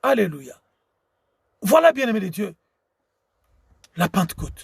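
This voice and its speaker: A high-pitched male voice at a very slow pace. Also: dry, close sound with no echo. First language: Tshiluba (speaking French). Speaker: preacher. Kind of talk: sermon. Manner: halting.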